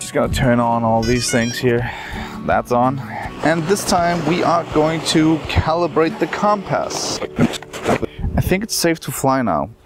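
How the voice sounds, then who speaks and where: With clear music in the background and a dry sound with no echo, a man speaks fairly slowly, leaving long, frequent pauses. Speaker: travel drone vlogger. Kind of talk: casual vlog chat. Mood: relaxed, lightly amused. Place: beach.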